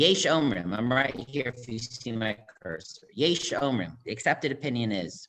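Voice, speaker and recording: A man talks at medium pitch with lively intonation. His loudness swings widely. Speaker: rabbi. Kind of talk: lecture. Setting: video call. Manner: fast.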